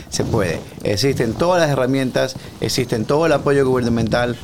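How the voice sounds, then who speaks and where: Over noticeable background noise, a man talks at a medium pitch and moderate pace with ordinary pitch variation. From Ecuador, Guayaquil. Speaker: real estate agent. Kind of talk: interview.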